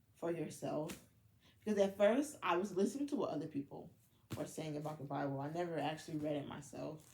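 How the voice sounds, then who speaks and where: With an American accent, a woman speaks at a moderate pace in a very deep, low pitch, her dark, mellow tone somewhat breathy and her pitch varying in an ordinary way. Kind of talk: personal testimony. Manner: halting, with many fillers.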